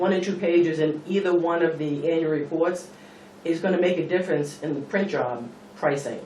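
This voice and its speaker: The speech moves at a moderate pace with fairly even intonation. Room echo and noticeable background noise can be heard. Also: man. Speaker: state employee, member of the public at meeting. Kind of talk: public comment at town meeting. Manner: halting, repeats words.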